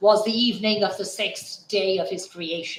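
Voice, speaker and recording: A man's high-pitched voice, flat and monotone, at a fairly slow pace. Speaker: YouTube commentator. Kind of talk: live-streamed monologue. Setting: home, late evening. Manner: formal.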